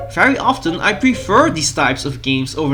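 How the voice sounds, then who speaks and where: A man speaks with a Dutch accent and very wide pitch swings. Noticeable background noise runs underneath. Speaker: gaming YouTuber. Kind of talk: video essay narration.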